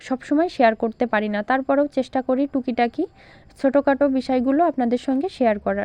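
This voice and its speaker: The woman's voice sits at a high pitch with ordinary pitch variation. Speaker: craft tutorial youtuber. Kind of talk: tutorial. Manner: halting, frequent pauses.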